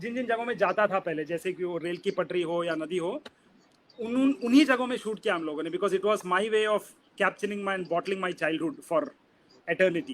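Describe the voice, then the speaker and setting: A man speaks with a Kannada accent. His pitch is high and his intonation lively. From Udupi, coastal Karnataka, India. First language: Kannada (speaking Hindi). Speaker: film director. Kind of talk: interview, casual talk mixing Hindi and English.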